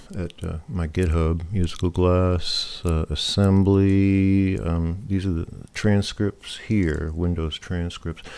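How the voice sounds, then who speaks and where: A man mumbles at a very slow pace, his pitch very deep and low with fairly even intonation. The recording is very clean, with a silent background. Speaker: programming YouTuber. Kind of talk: casual talk to camera. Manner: hesitant, many fillers; mumbling.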